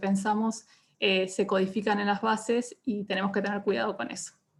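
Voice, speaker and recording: A woman's voice at a moderate pace, with monotone, flat intonation. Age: 30s. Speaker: data journalist. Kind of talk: online panel talk.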